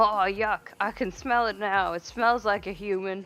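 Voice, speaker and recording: A put-on character voice, female-sounding and medium in pitch for a woman, in a British accent at a moderate pace. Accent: British, poorly done. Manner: disgusted, haughty.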